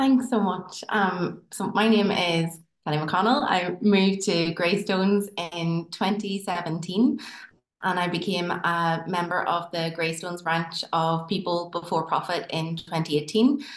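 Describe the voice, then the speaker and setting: The speaker has a Northern Irish accent. Pitch variation is ordinary. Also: woman, fairly low pitch for a woman, fairly slow pace. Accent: Tyrone. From Northern Ireland, County Tyrone. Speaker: dentist and local election candidate. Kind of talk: campaign speech.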